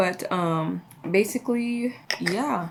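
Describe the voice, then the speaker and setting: Through noticeable background noise, the lively intonation of a woman comes across. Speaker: beauty vlogger. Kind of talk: casual chat. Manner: halting.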